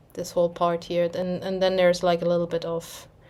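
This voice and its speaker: A woman's medium-pitched voice with a German accent. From Germany. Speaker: cross-stitch vlogger. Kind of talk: casual chat. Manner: halting.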